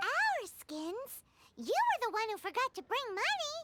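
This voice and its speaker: The voice is a put-on character voice, squeaky and extremely high in pitch. It stays at that extreme pitch throughout. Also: moderate pace. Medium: video game. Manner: wry, casual.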